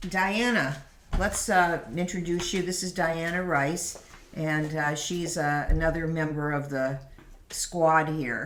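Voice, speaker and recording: A woman speaks very slowly at a fairly low pitch. Noticeable background noise and audible room echo accompany her. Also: ordinary pitch variation. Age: old. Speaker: podcast host and piano teacher. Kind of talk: casual chat. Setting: around a kitchen table.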